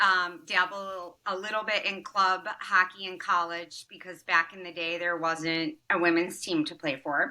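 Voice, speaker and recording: At a fairly slow pace and with hardly any pauses, a woman uses an ordinary speaking voice, fairly low in pitch, with fairly even intonation and big swings in loudness. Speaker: cannabis entrepreneur. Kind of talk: interview.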